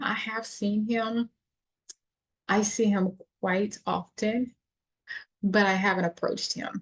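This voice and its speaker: A somewhat breathy voice at a very slow pace. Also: woman. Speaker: vlogger living abroad. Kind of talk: casual vlog chat to camera. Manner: animated, repetitive.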